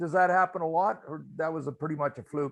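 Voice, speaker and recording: A man speaks in a normal speaking voice, pitched fairly high. His pitch moves in an ordinary way. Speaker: biker meetup host. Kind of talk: casual chat. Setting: video call.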